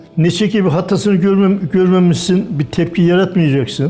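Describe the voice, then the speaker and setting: Against noticeable background noise, a man with a high pitch talks at a moderate pace. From Erzincan, eastern Turkey. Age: 80s+. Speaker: retired bus and truck driver. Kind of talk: interview answer.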